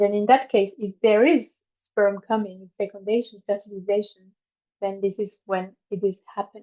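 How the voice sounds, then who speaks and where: A woman speaks with a medium pitch and fairly even intonation. Her pace is moderate. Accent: non-native. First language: not English. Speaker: women's health workshop facilitator. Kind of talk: online workshop talk. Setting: online video workshop. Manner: halting, with many fillers.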